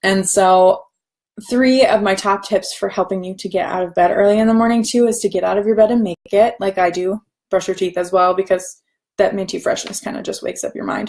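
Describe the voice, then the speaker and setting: A woman speaks at a medium pitch. Her pace is fairly quick and her intonation fairly even. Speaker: online business coach. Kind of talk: live stream talk. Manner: fast.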